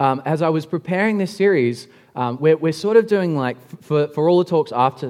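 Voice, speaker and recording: Against a quiet background, a voice with an Australian accent moves very fast through very wide pitch swings. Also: man. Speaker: pastor. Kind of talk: sermon. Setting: church.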